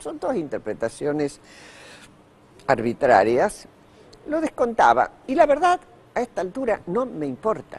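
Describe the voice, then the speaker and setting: A man speaks in a high voice with very wide pitch swings. His pace is fairly slow, broken by long, frequent pauses. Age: 80s+. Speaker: author. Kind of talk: TV interview.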